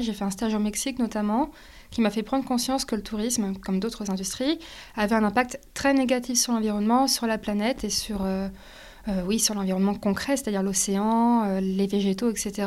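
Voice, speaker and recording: A woman's fairly high voice at a fairly quick pace with fairly even intonation. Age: 20s. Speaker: sustainability entrepreneur. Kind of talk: interview. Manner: halting.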